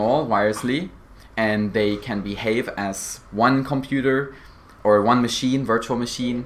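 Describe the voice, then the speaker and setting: Here is a man with a plain, everyday voice. He talks at a fairly slow pace with fairly even intonation. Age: young. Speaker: cybersecurity apprentice. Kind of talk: interview.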